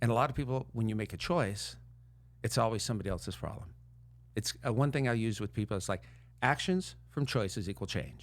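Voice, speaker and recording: A man's fairly quick, medium-pitched voice with lively intonation and vocal fry, in a very clean recording against a silent background. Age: 60s. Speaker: mental health coach. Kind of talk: casual chat.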